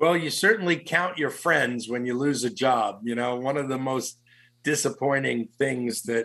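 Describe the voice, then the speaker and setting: A man at medium pitch, fairly slow in pace, ordinary in pitch variation, against a quiet background. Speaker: executive recruiter and author. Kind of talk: radio interview. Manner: animated.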